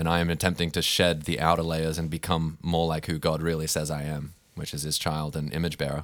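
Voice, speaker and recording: A man's very deep, low voice with an Australian accent, fairly quick and hardly pausing, in a monotone, flat intonation, over a very clean recording with a silent background. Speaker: podcast co-host. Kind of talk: casual conversational discussion.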